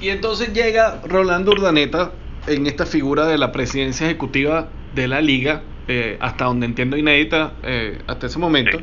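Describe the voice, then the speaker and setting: Amid noticeable background noise and audible room echo, a man with a fairly high pitch talks at a fairly quick pace with lively intonation. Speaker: sports marketing podcast host. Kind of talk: interview.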